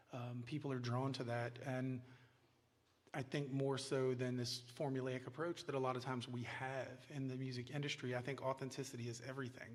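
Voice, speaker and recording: Amid audible room echo, a man speaks at a moderate pace and medium pitch with monotone, flat intonation. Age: middle-aged. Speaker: songwriter. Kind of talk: interview on stage.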